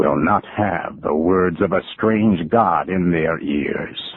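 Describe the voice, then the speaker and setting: Using a put-on character voice, a man speaks at a very slow pace in a very deep, low pitch. His intonation is fairly even and his loudness very even. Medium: read story.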